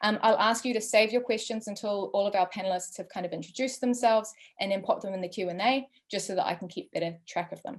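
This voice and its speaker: Someone talks at a fairly quick pace in a New Zealand accent with ordinary pitch variation. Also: woman. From New Zealand, West Auckland. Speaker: drugs researcher and event moderator. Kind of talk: moderated online panel introduction. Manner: hesitant, many fillers.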